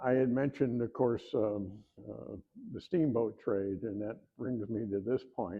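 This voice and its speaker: This man has a Midwestern accent and medium pitch. He speaks at a fairly slow pace. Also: ordinary pitch variation. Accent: Midwest. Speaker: historian and author. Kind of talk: lecture. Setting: room with live audience. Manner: halting, many fillers.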